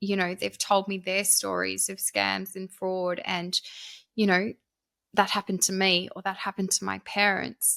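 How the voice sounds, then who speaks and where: Recorded very cleanly against a silent background, a woman with an Australian accent speaks at a moderate pace, the sound dry and close with no echo. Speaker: author and scam awareness speaker. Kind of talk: podcast interview.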